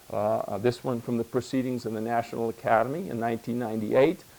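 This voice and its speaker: At a fairly quick pace, a man speaks at a medium pitch in a very clean recording with a silent background. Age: 60s. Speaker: medical doctor. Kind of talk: lecture. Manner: halting; fast.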